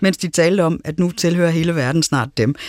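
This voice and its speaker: Speaking at a fairly quick pace, a woman with an unremarkable speaking voice is heard in a dry, close sound with no echo. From Denmark, Aarhus. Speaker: radio host and moderator. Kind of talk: radio panel discussion. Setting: studio.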